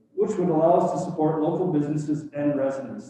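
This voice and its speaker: A man with a fairly high voice speaks fairly quickly against noticeable background noise. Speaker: business delegate presenting to council. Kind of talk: prepared presentation to town council. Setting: council chamber meeting. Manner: loud. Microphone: no microphone, speaking up to room.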